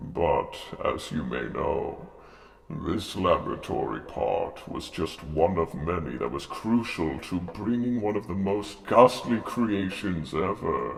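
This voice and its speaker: A man uses a put-on character voice at a fairly slow pace. Clear background noise runs behind him. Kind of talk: spooky show host address to camera. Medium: role play. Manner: theatrical, ominous.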